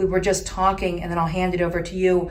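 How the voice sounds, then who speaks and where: A woman with a fairly low pitch talks over noticeable background noise. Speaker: ALS treatment practitioner. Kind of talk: interview host talk.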